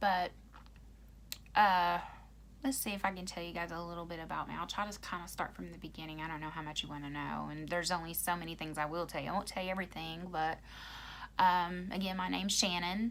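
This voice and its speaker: Speaking at a very fast pace in an American accent, a woman uses a fairly low pitch and fairly even intonation. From Oklahoma. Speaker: YouTuber. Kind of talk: casual chat. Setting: livestream. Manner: halting, many ums and pauses.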